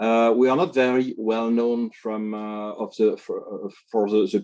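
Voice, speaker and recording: A man speaks in a French accent with a dark, mellow tone. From France. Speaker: tech company executive. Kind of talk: panel discussion on video call. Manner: halting, many fillers.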